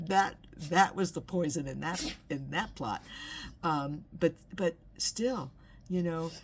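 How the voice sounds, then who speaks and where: A woman with an American accent talks very slowly, with long, frequent pauses. Her voice shows vocal fry and ordinary pitch variation. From Los Angeles, California. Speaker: inspirational video host. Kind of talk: personal reflection monologue. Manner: halting, many repeated words and fillers.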